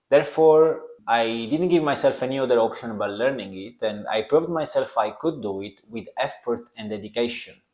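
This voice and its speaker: A man speaks with a strong Italian accent. He talks at a fairly quick pace with ordinary pitch variation. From Italy. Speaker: podcast host. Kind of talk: self-help podcast monologue.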